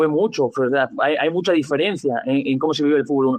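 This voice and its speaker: In an unremarkable speaking voice, a man talks with a fairly high pitch and ordinary pitch variation. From Andalusia, Spain. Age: young. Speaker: football coach. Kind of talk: interview answer.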